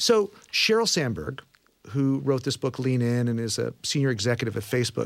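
A man's normal speaking voice with an American accent, medium in pitch, at a fairly quick pace. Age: 50s. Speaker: radio host. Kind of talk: interview.

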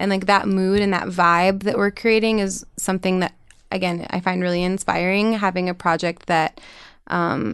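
In an American accent, a woman uses a normal speaking voice at a medium pitch. She keeps a moderate pace and very even loudness against a quiet background. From New York City, then small-town Minnesota. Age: 20s. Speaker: singer-songwriter. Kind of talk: casual interview chat. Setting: studio.

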